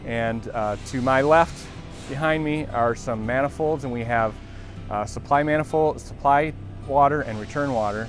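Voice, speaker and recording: Over clear background music, a man's fairly even intonation comes through in a dry sound with no echo. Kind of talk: interview answer. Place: factory. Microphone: lapel.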